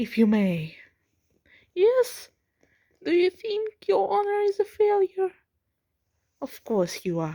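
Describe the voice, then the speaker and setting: Recorded with a dry, close sound and no echo, a woman speaks quietly at a very slow pace, with long, frequent pauses. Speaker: vlogger. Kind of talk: casual vlog monologue. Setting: at home at night, family nearby. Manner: trying to keep quiet; halting, repeats words.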